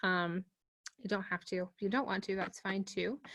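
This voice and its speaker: In an American accent, a woman talks at a fairly quick pace. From Pittsburgh, Pennsylvania. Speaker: workshop presenter. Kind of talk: online workshop presentation. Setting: video call. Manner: casual, many fillers.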